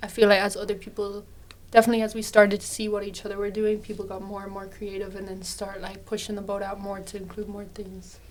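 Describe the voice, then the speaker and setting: A woman with a Dublin accent speaks at a very fast pace, at medium pitch in a flat monotone, with big swings in loudness. Noticeable background noise and audible room echo are present. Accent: Irish (Dublin). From Ireland, Dublin. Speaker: university student. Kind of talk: casual chat.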